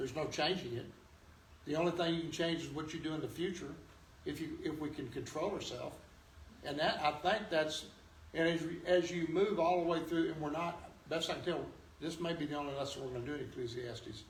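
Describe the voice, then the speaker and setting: Spoken at a fairly quick pace with long, frequent pauses and fairly even intonation, the voice carries audible room echo over noticeable background noise. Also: man, fairly high pitch for a man. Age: 70s. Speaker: Sunday school teacher. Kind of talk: Bible class teaching. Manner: halting.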